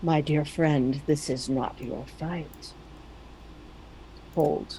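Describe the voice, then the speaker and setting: A put-on character voice at a low-to-middle pitch and very slow pace, with clear background noise. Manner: calm.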